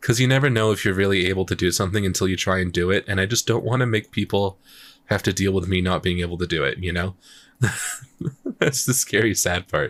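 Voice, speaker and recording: A man speaks at a very fast pace. His voice is very deep and low in pitch, with ordinary pitch variation. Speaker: streamer and music producer. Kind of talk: casual livestream chat. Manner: casual, halting with fillers.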